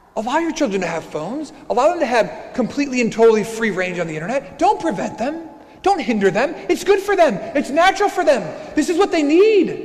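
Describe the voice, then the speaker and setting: At a fairly quick pace, a man talks at an extremely high pitch with very wide pitch swings. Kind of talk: Sunday homily preached at Mass, building to an urgent warning. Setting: church during Mass. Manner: impassioned, repeating phrases as he presses a point; conversational asides mixed with rhetorical questions. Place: church. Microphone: lapel.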